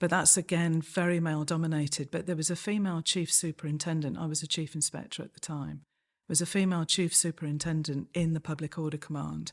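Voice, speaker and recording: With a slight Manchester accent, the speaker talks at a very fast pace in a monotone, flat intonation, in a very clean recording with a silent background. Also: woman, very deep, low pitch for a woman. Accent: slight Manchester twang. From Manchester, northern England. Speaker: senior police officer. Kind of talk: interview.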